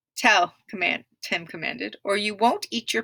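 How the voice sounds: The background is quiet. A natural reading voice keeps fairly even intonation.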